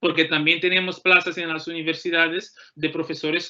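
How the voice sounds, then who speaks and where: Someone with a Portuguese accent speaks at a moderate pace against a quiet background. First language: Portuguese (speaking Spanish). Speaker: law graduate and postdoctoral researcher. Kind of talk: career talk to students.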